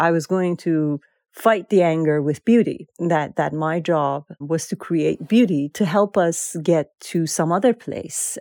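Dry and close with no echo, a woman with a Persian accent speaks at a fairly slow pace in a fairly low, dark, mellow tone with ordinary pitch variation. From Iran. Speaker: author and poet. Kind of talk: interview. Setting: remote call.

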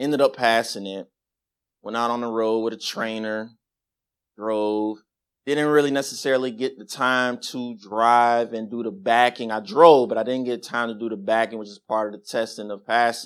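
A man speaks at a moderate pace with a medium pitch and an American accent. His loudness swings widely, on a very clean recording with a silent background. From Las Vegas, US Southwest. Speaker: congregation member giving testimony. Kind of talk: testimony. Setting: church.

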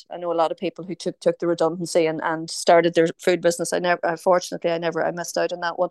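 Speaking very fast with hardly any pauses, a woman with a Northern Irish accent keeps a fairly low, monotone, flat delivery in a dry, close recording with no echo. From Tyrone, Northern Ireland. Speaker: food company founder. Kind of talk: casual radio interview. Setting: online video call.

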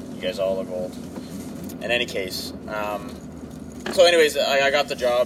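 A man talks fairly quickly, with noticeable background noise in the recording. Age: 30s. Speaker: college instructor. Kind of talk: casual chat. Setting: in a car.

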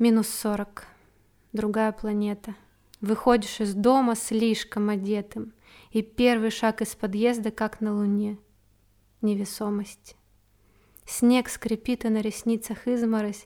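The voice has a dark, mellow tone and monotone, flat intonation, moving at a very slow pace with long, frequent pauses. The recording is very clean, with a silent background. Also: woman, fairly high pitch for a woman. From Siberia, small town in Krasnoyarsk Krai. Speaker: podcaster and amateur poet. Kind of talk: personal monologue podcast; reading own poetry aloud. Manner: heartfelt, expressive reading.

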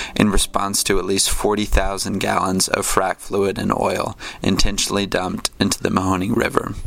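With music in the background, a man speaks at a fairly low pitch and a moderate pace in a monotone, flat way. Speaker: college radio host. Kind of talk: radio show narration and interviews.

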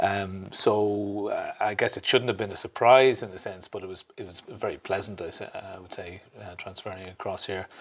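This man speaks in a flat monotone at a fairly low pitch, his loudness swinging widely. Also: moderate pace. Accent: Irish. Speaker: ambassador. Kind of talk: interview. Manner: halting.

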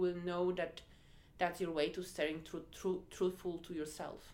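A woman speaks with a Polish accent. Her pitch is medium and her pace is moderate. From Poland. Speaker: head of diversity and inclusion. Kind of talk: interview. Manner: hesitant, many fillers.

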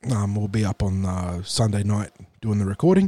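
A man talks at a moderate pace in a fairly low pitch, his dark, mellow tone raspy and nasal, with lively intonation.

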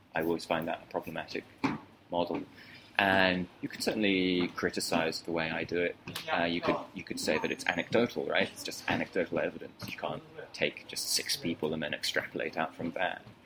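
Over noticeable background noise, a man talks at a fairly quick pace in a very deep, low pitch with monotone, flat intonation. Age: 30s. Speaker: author. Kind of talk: interview. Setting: restaurant with background noise.

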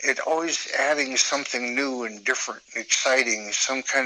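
With an American accent, a man speaks at a moderate pace and medium pitch. His pitch varies normally, and there is noticeable background noise. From US Midwest (northeast Nebraska). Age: 70s. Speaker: artist. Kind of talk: interview.

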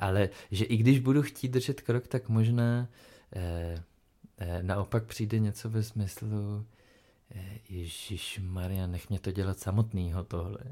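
In a very clean recording with a silent background, a man speaks at a very slow pace with a fairly low pitch and a dark, mellow tone. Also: ordinary pitch variation. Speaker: podcast co-host. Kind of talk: casual chat. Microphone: new microphone.

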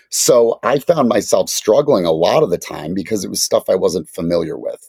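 At a moderate pace, the voice comes through with a dry, close sound and no echo. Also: man. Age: 40s. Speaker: marketing consultant. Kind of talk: casual chat.

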